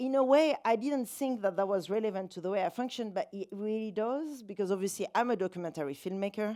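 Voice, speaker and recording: A woman's fairly high, dark and mellow voice in a French accent, fairly quick and lively in intonation, in a very clean recording with a silent background. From France, south (Valence). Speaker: documentary filmmaker. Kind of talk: festival talk with slide presentation. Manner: casual, chatty with many fillers.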